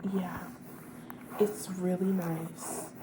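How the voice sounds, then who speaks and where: A soft-spoken woman talks at a very slow pace in a gentle, warm tone over noticeable background noise. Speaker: ASMR creator. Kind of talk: ASMR comforting friend roleplay, soft-spoken. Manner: soft-spoken, gentle, warm.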